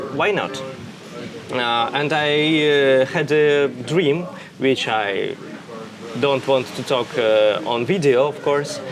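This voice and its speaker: A man at a very slow pace with long, frequent pauses, a fairly high pitch and ordinary pitch variation over noticeable background noise. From Russia. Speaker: interviewee. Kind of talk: interview. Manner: halting, many fillers.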